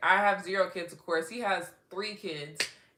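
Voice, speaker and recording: At a moderate pace, a woman speaks in an animated tone. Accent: American. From Texas. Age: 30s. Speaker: livestreamer and first-grade reading teacher. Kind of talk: casual livestream chat reading comments.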